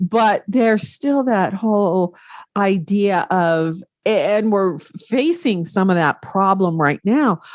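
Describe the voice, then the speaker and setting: Against a quiet background, a woman with an American accent speaks very slowly at a medium pitch, her intonation lively. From US Pacific Northwest. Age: 60s. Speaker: podcast host. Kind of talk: casual interview chat.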